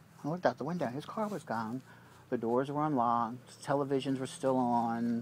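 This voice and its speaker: This is a plain, everyday voice with ordinary pitch variation. The pace is fairly quick. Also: man, medium pitch for a man. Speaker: vlogger confronting former housemate. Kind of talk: casual chat.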